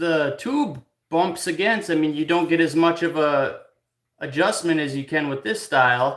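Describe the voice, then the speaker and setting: A man speaks loudly and fairly slowly, his high voice bright and sharp with lively intonation. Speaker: clock repairer. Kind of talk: live stream workshop chat. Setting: workshop. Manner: halting.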